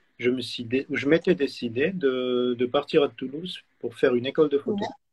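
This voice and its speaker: In a dry, close recording with no echo, a man speaks at a moderate pace with a fairly high pitch and ordinary pitch variation. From Switzerland. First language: German (speaking French). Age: 40s. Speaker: photographer. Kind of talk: interview. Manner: halting.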